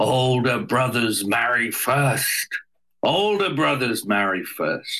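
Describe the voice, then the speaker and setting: A man performs a put-on character voice at medium pitch. He delivers it at a very slow pace. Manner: bellowing, aggressive.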